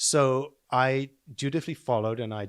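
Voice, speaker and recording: With a dry, close sound, no echo and a very clean recording with a silent background, a man speaks with fairly even intonation. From South Africa, then Canada from age 13. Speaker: real estate company president. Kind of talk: podcast interview.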